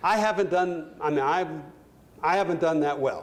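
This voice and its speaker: A man talks with usual rises and falls in pitch, and room echo is clearly audible. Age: 60s. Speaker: retired corporate executive giving a talk. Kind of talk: lecture with audience Q&A. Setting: stage with audience. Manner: halting, many fillers.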